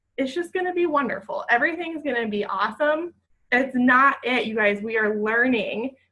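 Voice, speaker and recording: Raising and projecting her voice, a woman speaks at a moderate pace with a high pitch, a bright, sharp tone and lively intonation. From Ohio, US. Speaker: team leader on a sales call. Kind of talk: group conference call. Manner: animated.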